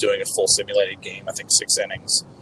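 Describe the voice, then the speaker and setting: Background noise is noticeable here. Over it, a man talks fairly quickly. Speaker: baseball beat reporter. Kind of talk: interview on a sports podcast. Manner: halting, many fillers.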